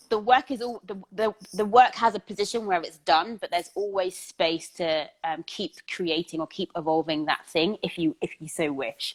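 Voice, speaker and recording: With an ordinary speaking voice at a medium pitch, a woman talks at a moderate pace with hardly any pauses, ordinary pitch variation and big swings in loudness, the sound dry and close with no echo. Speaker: interviewer. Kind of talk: interview conversation.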